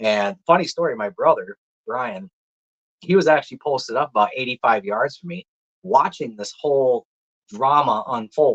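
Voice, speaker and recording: This man's voice is fairly high, with lively intonation and a moderate pace. The sound is dry and close, with no echo. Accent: strong Minnesota. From Minnesota. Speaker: deer hunter. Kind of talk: casual chat. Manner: animated.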